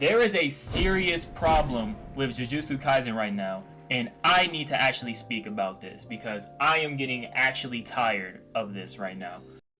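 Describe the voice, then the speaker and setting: A man speaks at a moderate pace with a medium pitch and lively intonation. He barely pauses, and music plays in the background. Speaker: anime YouTuber. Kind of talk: casual unscripted commentary. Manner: halting, filler-heavy; animated.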